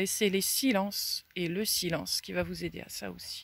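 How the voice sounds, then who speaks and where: A woman speaks at a fairly slow pace in a medium pitch, with ordinary pitch variation. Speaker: self-development speaker. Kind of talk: reflective talk to camera. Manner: very slow; pausing between words.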